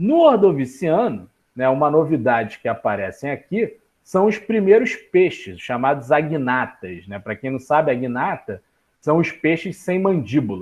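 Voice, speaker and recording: A man's fairly high voice with very wide pitch swings, at a fairly slow pace. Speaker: biology teacher. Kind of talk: online class lecture.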